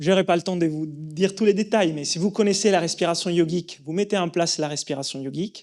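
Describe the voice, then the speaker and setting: A man with an Italian accent speaks at a moderate pace, his voice high in pitch with ordinary variation. The recording is very clean, with a silent background. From Italy. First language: Italian (speaking French). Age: 30s. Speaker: breathing coach and yoga teacher. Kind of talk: conference talk. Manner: halting, many fillers and repetitions.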